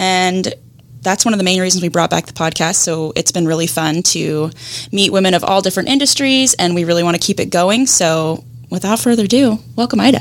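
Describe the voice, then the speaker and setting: With noticeable background noise, a woman talks at a fairly quick pace, her intonation lively and her loudness very even. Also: medium pitch for a woman. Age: young. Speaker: podcast co-host, digital marketer. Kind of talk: casual interview chat; scripted outro with announcements.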